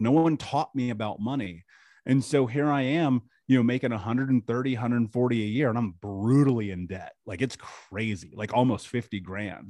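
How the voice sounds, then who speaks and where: A man with an American accent, medium pitch and a dark, mellow tone, at a fairly quick pace against a quiet background. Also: ordinary pitch variation. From US Midwest, Indianapolis. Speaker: trauma mentor and podcaster. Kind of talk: interview testimony.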